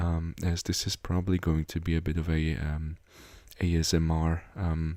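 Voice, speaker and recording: On a very clean recording with a silent background, a quiet man with a very deep, low pitch and a dark, mellow tone speaks in a monotone, flat intonation at very even loudness. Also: moderate pace. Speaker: gaming YouTuber. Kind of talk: game update commentary. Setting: home recording after midnight. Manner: quiet, low volume; hesitant with many fillers.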